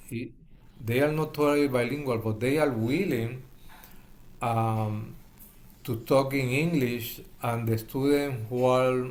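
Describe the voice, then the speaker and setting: A man's medium-pitched voice at a fairly slow pace, with fairly even intonation, long, frequent pauses and audible room echo. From Puerto Rico. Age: 70s. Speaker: hospital chaplain educator. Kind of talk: interview. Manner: halting.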